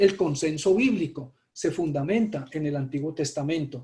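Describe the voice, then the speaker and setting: This man's voice is high for a man, dark and mellow in tone, with ordinary pitch variation at a fairly slow pace. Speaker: pastor. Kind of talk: sermon.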